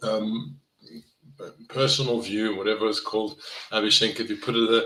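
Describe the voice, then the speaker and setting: A man with a South African accent, a bright, sharp tone and a moderate pace. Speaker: neuroscience professor and health coach. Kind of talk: live online presentation. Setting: live video session. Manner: conversational.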